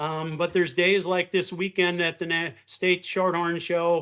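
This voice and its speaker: The speaker talks at a moderate pace with an Upper Midwest accent. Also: man. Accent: Upper Midwest American. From Wisconsin. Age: 60s. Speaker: beef farmer. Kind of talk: interview. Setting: video call. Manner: halting, frequent fillers.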